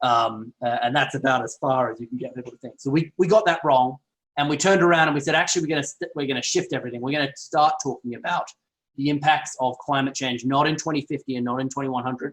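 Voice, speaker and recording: Talking at a very fast pace, a man with a strong Australian accent uses a fairly high pitch and fairly even intonation. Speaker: health and climate researcher. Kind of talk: online lecture. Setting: online video call.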